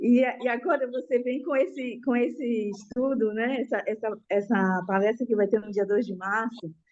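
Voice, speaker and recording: A woman with an ordinary speaking voice and a fairly high pitch talks at a moderate pace with ordinary pitch variation. She takes hardly any pauses. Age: 60s. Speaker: student, educator. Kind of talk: class testimony.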